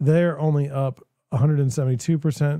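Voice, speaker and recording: Speaking at a fairly quick pace with an American accent, a man has a fairly high pitch, a dark, mellow tone and a somewhat breathy quality, recorded with a dry, close sound and no echo. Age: 40s. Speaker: real estate broker and livestream host. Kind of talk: solo livestream commentary. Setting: livestream, alone at screen. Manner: casual, repetitive false starts.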